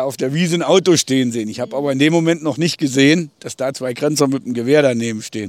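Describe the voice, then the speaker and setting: A man speaks fairly quickly in an ordinary speaking voice, his pitch varying in an ordinary way. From Thuringia, Eichsfeld border area. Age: 50s. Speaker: village mayor, eyewitness. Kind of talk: interview, recounting memories. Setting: outdoors on a bridge by the river.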